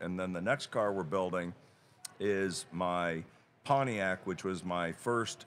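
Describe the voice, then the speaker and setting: A man's very deep, low voice at a very slow pace, fairly even in intonation, over light background noise. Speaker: guest, auction company head. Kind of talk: interview answer. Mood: relaxed, amused. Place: hall. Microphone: studio mic.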